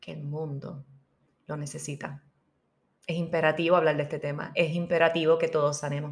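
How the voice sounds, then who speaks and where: A woman speaks in an animated tone at a moderate pace. Her pitch sits fairly low. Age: 40s. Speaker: podcast host and spiritual healing coach. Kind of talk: inspirational monologue.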